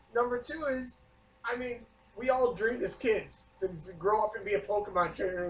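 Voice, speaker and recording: A loud man with a high pitch, at a fairly quick pace broken by long, frequent pauses. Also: ordinary pitch variation. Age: 30s. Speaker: podcast co-host. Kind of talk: casual chat.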